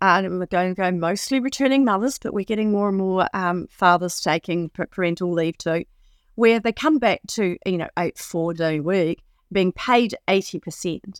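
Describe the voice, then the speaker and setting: With a New Zealand accent, a woman talks at a moderate pace with lively intonation in a dry, close, echo-free recording that is very clean, with a silent background. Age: 50s. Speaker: four-day week campaigner. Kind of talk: interview. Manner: halting.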